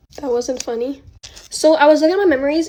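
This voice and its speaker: Over noticeable background noise, a woman talks at a fairly quick pace. Her voice is high with lively intonation. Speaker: influencer. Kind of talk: get-ready-with-me vlog. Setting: at home filming herself. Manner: stutters; casual, filler-heavy.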